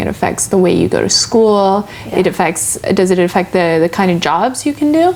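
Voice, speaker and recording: Noticeable background noise sits behind a woman speaking at a moderate pace. Her medium-pitched voice makes very wide pitch swings. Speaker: TV show host. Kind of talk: interview questions.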